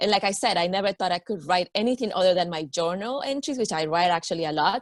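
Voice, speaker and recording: Lively intonation marks a woman's voice on a very clean recording with a silent background, dry and close with no echo. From Peru, then Miami from age ten. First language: Spanish. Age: 40s. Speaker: yoga teacher and energy coach. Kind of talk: interview.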